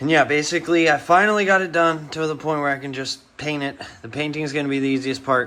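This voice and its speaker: Speaking fairly quickly with an American accent, a man keeps a fairly high pitch and fairly even intonation. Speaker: car hobbyist vlogger. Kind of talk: casual vlog tutorial. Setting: home garage. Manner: rambling, casual.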